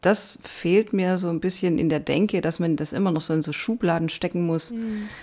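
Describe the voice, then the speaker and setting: A woman talks at a moderate pace in a fairly low voice with a dark, mellow tone. She leaves hardly any pauses, and her pitch varies in an ordinary way. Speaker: teacher and author. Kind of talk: casual chat.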